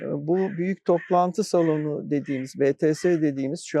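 A man with a dark, mellow tone speaks at a fairly high pitch, with ordinary pitch variation. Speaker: retired university faculty secretary. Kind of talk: interview reminiscence. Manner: measured, with filler hesitations.

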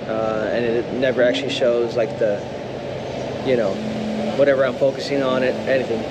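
Loud noise fills the background. A man is speaking. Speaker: touring musician vlogger. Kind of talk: casual vlog chat. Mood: mildly disappointed, calm. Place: station. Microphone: phone near.

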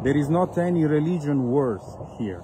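The speaker has an Italian accent and a moderate pace with ordinary pitch variation. Loud background noise fills the recording. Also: man. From Italy. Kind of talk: video appeal. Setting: outdoors in vineyards. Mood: earnest, appealing. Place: open country. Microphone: phone near.

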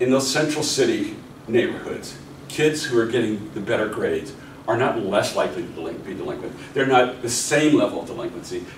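Over light background noise with audible room echo, a man with an American accent speaks at a fairly quick pace. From US, Pittsburgh (Hill District); Pittsburgh. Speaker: professor; seminar lecturer. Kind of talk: lecture. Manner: halting, many fillers. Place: meeting room. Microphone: camera far.

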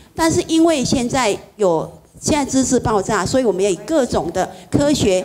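A woman at a moderate pace with lively intonation, over light background noise. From Taiwan. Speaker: Buddhist practitioner; Buddhist teacher. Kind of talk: dharma talk. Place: hall.

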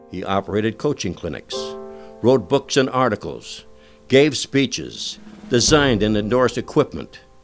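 A man's lively intonation comes through with music playing in the background. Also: medium pitch for a man, moderate pace. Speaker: sports broadcaster. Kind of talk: documentary narration.

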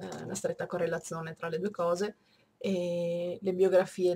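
At a very slow pace, a woman talks in a fairly low pitch. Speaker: book reviewer. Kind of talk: casual talk to camera.

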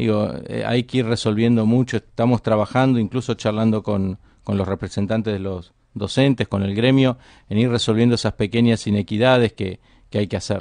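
Against a quiet background, a man with a fairly low pitch talks at a fairly quick pace with fairly even intonation. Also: dry sound with no echo. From Argentina. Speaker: politician, governor-elect; politician. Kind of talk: radio interview. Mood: calm, measured. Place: studio. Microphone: studio mic.

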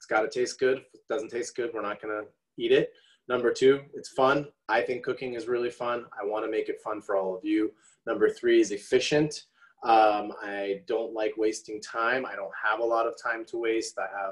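Over a quiet background, a man talks at a moderate pace. His loudness rises and falls in big swings. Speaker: presenter. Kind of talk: online presentation. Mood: relaxed, friendly. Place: kitchen. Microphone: video call.

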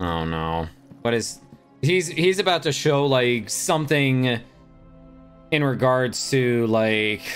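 Very slow speech over faint music in the background. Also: man. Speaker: streamer. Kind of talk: reaction commentary. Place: home room. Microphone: studio mic.

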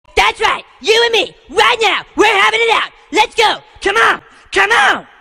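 A cartoonish character voice shouts at a moderate pace with an extremely high pitch. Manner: aggressive, taunting, loud.

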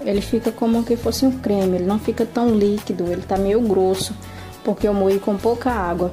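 With clear music in the background, a woman at a medium pitch speaks at a moderate pace with fairly even intonation. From Paraíba, Brazil. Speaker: home cook, YouTuber. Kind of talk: cooking tutorial talk to camera. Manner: warm, friendly. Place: kitchen. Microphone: phone near.

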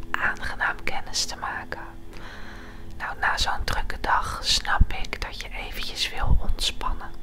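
Whispering at a very slow pace, a woman leaves long, frequent pauses, and her loudness swings widely. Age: 20s. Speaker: ASMR creator. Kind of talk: ASMR role play. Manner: whispered, soft-spoken. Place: home room. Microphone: lapel.

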